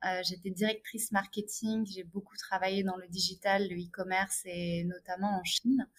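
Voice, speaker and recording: Somewhat breathy and monotone with flat intonation, a woman talks at a moderate pace in a medium pitch, with hardly any pauses. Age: 30s. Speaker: yoga teacher. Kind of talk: interview.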